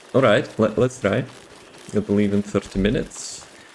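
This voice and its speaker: A man with a non-native accent, fairly low pitch, fairly even intonation and moderate pace, over noticeable background noise. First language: not English. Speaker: video game streamer. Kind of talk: live gameplay stream commentary. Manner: casual, halting with repeated words.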